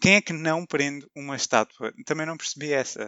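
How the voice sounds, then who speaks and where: An ordinary speaking voice keeps a moderate pace and fairly even intonation. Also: man. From Portugal, Vilamoura (Algarve). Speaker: podcast co-host. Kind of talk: casual chat.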